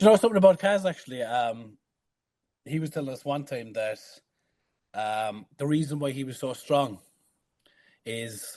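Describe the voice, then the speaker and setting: Against a quiet background, a voice with a dark, mellow tone moves through lively intonation and big swings in loudness, broken by long, frequent pauses. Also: man, medium pitch for a man, moderate pace. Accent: Irish. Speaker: strongman athlete. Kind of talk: casual chat.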